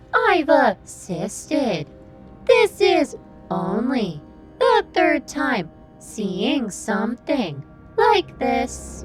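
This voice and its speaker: A put-on character voice with a fairly high pitch moves at a very slow pace over clear music in the background. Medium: audio drama. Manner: formal, measured.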